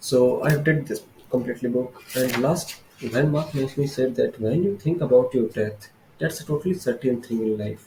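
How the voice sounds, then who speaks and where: A man with an Indian accent speaks at a moderate pace, his medium pitch carrying ordinary pitch variation. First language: Hindi. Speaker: vlogger. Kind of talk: casual monologue book summary. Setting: filming alone on camera. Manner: halting.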